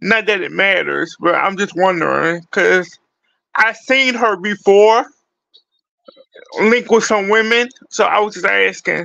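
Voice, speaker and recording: Projecting a raised voice, a man with a high pitch keeps his intonation fairly even and leaves long, frequent pauses. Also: fairly slow pace. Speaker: music reaction YouTuber. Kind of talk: casual talk to camera. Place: home room. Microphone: phone near.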